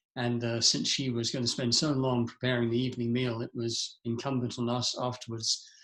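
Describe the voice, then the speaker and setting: In an English accent, the speaker talks at a very fast pace with a monotone, flat intonation. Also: man. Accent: English (RP-leaning). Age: 70s. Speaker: founder and leadership speaker. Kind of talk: interview. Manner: reflective, with hesitations.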